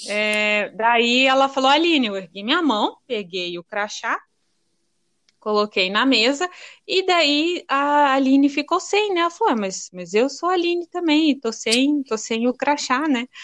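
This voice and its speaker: Her pitch is high and her pace fairly slow. The woman's pitch swings very widely. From Paraná, Brazil (born in Rio Grande do Norte). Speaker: childhood friend, writer. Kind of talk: casual chat.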